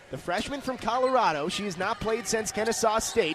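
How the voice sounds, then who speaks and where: Noticeable background noise sits behind a man speaking with a high pitch. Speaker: play-by-play broadcaster. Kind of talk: radio sports play-by-play.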